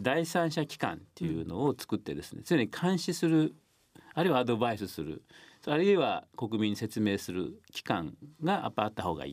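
A man with a medium pitch talks at a moderate pace with vocal fry, very wide pitch swings and big swings in loudness. The recording is very clean, with a silent background. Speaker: nuclear policy researcher and professor. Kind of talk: radio interview.

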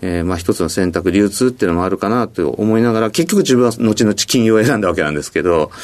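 A man's fairly low voice at a very fast pace with hardly any pauses, ordinary pitch variation and noticeable background noise. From Hokkaido, Sapporo. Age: 50s. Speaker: company president. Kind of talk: interview. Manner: frequent filler words.

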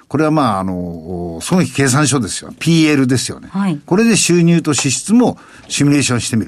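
Fairly quick and fairly high-pitched, a man speaks with very wide pitch swings. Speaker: financial advisor. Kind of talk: explanatory talk on personal finance.

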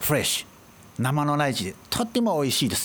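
A man's fairly high voice with vocal fry, a fairly quick pace and very wide pitch swings. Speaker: trade office director. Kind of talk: interview.

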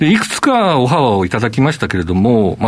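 A plain, everyday voice, a man's at a medium pitch moves along at a fairly quick pace. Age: 50s. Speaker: company CEO. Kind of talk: interview. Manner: formal.

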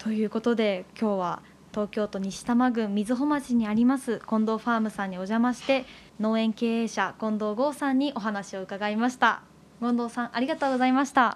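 Fairly even intonation and a moderate pace in a woman's fairly high, a normal speaking voice. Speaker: announcer and co-host. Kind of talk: interview. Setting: on location at a farm.

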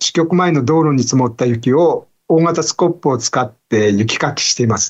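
This man has an unremarkable speaking voice, pitched fairly high. His intonation is lively and his pace moderate. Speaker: newspaper bureau chief. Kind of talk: news explainer. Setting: video call. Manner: formal.

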